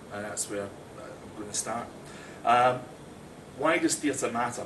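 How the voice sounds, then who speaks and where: A man with a Scottish accent, medium pitch and fairly even intonation, with audible room echo and noticeable background noise. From Scotland. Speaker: theatre director and actor. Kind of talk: prepared talk to small audience. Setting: small live audience, recorded.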